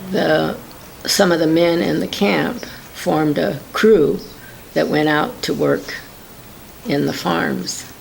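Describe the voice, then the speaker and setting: With an American accent, a woman speaks at a very slow pace with long, frequent pauses. The room echo is audible, and there is noticeable background noise. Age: 70s. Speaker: interviewee recounting WWII internment. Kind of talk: oral history interview. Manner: halting.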